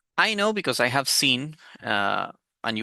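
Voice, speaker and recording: The speaker has a Spanish accent. The background is quiet. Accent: Spanish accent, self-described as very bad. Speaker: football commentator youtuber. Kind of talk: opinion monologue. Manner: hesitant, many fillers.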